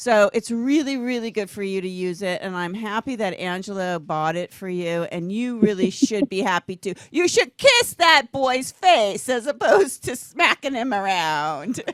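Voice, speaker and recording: Speaking at a moderate pace with hardly any pauses, a woman uses a fairly high pitch with very wide pitch swings. Her loudness swings widely, and the sound is dry and close with no echo. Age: 60s. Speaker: talk show host. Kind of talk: casual chat. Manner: animated.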